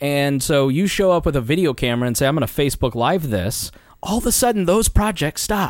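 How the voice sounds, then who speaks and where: A man speaks fairly quickly in an ordinary speaking voice, his pitch fairly high with lively intonation. The recording is very clean, with a silent background. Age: 30s. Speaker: libertarian podcast host. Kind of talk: casual chat. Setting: studio.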